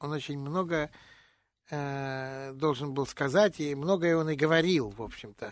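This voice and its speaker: Delivered at a fairly slow pace with ordinary pitch variation, this is a plain, everyday voice. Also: man, fairly high pitch for a man. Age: 60s. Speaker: jazz and blues vocalist. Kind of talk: radio interview.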